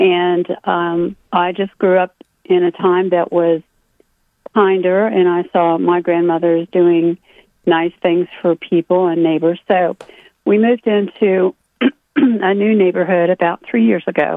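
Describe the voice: A woman's fairly low pitch, with little pitch movement, at a fairly slow pace in a dry, close sound with no echo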